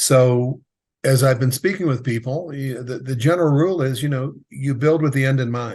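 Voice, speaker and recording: A man with a medium pitch and a somewhat breathy voice talks at a moderate speed, his intonation fairly even. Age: 60s. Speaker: exit planning advisor for contractors. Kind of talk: interview.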